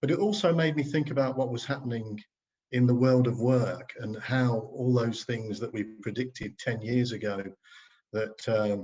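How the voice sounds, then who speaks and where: A man speaks at a fairly slow pace, his voice somewhat breathy. His medium pitch moves with ordinary variation. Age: 60s. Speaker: co-author of a book, marketing consultant. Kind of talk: casual conversation introducing a book. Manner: hesitant, many fillers.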